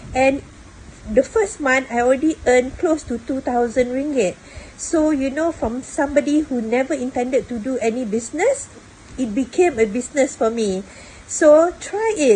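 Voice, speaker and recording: Against noticeable background noise, a woman talks at a moderate pace and high pitch with lively intonation. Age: 60s. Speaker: retiree, former customer service worker. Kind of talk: testimonial to camera.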